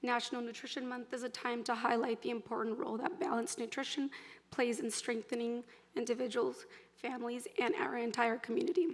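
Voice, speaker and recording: With noticeable background noise behind her, a woman talks at a fairly quick pace in a high voice with ordinary pitch variation. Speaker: nutrition organization representative. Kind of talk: prepared acceptance speech.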